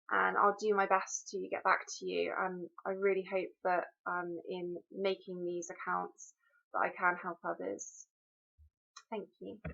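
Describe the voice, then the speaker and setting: A woman with a British accent at a fairly slow pace. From UK. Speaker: mental health blogger. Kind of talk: personal video introduction. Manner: hesitant, frequent um.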